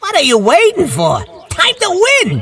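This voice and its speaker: A put-on character voice at an extremely high pitch and a moderate pace. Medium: machinima. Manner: wry, commanding.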